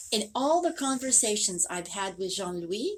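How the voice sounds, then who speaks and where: At a moderate pace, a woman speaks with a fairly high pitch. Background noise is noticeable. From France. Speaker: psychic reader. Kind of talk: psychic reading.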